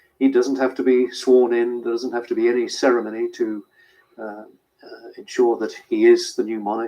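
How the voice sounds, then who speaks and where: This man has a British accent. He keeps to a moderate pace. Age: 60s. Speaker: royal correspondent. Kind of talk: news interview. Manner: hesitant with fillers.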